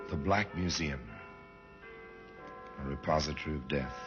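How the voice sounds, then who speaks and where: Very deep, low-pitched male voice at a fairly slow pace, with music in the background. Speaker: radio host and narrator. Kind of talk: radio drama narration. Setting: old radio recording.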